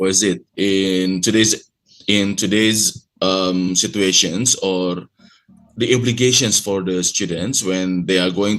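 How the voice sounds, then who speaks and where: The intonation stays fairly even. The speaker has an Indonesian accent. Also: man. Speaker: university lecturer presenting research. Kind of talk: conference presentation. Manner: halting, with many fillers.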